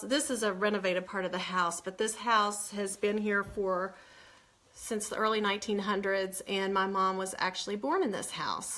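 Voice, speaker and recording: A woman with an American accent, medium pitch, fairly even intonation and moderate pace, plus noticeable background noise. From West Virginia. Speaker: author. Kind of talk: casual live chat. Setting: livestream from home.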